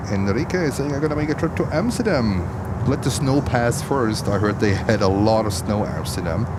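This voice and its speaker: A man's medium-pitched voice with a German accent, fairly quick and lively in intonation, at very even loudness, with audible room echo and noticeable background noise. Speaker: livestream plane-spotting host. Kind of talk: live commentary. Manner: animated.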